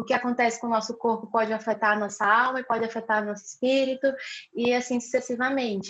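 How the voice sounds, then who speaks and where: Talking at a very fast pace, a woman uses a fairly high pitch and a monotone, flat intonation. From Brazil, Rio Branco, Acre. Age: 20s. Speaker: missionary and psychologist. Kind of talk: casual interview conversation.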